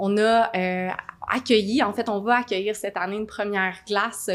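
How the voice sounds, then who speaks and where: With fairly even intonation, a woman speaks in a fairly high pitch and an unremarkable speaking voice. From Quebec, Gatineau (Outaouais). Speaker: mayor and mayoral candidate. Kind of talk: political Q&A answer. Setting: studio.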